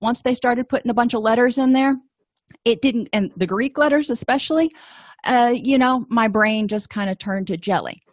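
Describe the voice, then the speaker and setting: A plain, everyday voice from a woman, fairly high-pitched, at a moderate pace. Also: dry, close sound with no echo, quiet background. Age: 40s. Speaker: therapist and educator. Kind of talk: lecture.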